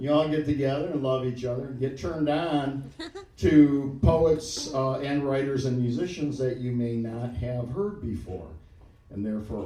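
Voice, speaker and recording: A medium-pitched man with an American accent at a moderate pace, with audible room echo and noticeable background noise. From Detroit. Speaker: event emcee and poet. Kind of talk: live event introduction. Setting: stage with audience.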